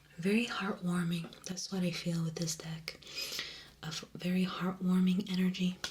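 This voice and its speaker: Over noticeable background noise, a woman speaks at medium pitch and a moderate pace with monotone, flat intonation. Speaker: ASMR creator. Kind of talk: ASMR unwrapping and tarot reading. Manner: whispered, soft-spoken.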